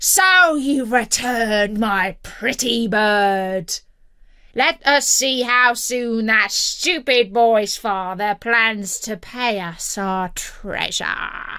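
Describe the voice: In a put-on character voice, the speaker goes at a very slow pace with a bright, sharp, clear, smooth tone and ordinary pitch variation. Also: woman, fairly high pitch for a woman.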